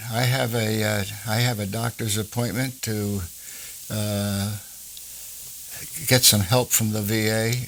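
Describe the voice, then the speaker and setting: With an American accent, a man speaks at a fairly slow pace and fairly low pitch, leaving long, frequent pauses. His intonation is monotone and flat, and there is noticeable background noise. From New Jersey. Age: 90s. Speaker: war veteran. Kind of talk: oral history interview. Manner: halting, with many fillers.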